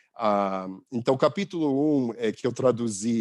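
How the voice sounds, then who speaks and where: A man speaks with an English accent and ordinary pitch variation. The recording is very clean, with a silent background. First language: English (speaking Portuguese). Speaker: visiting professor. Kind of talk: lecture. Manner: halting, many fillers and restarts.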